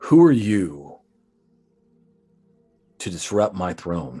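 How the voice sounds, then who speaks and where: A man bellows in a put-on character voice, growling and booming at a very deep, low pitch. He speaks at a very slow pace. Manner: bellowing, booming.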